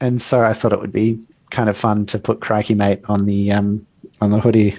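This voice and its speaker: This man speaks in an Australian accent at a moderate pace, his pitch fairly low. His tone is dark and mellow, his intonation monotone and flat. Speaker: product manager and agile coach. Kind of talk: casual interview.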